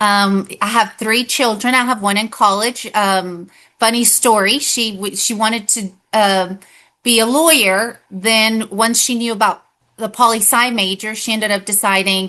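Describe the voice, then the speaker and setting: A woman with a Spanish accent, a bright, sharp tone and fairly high pitch, against a quiet background. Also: fairly even intonation, fairly slow pace. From Texas Panhandle, raised in Dumas; born in Mexico. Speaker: political candidate and educator. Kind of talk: interview. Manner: hesitant, many fillers.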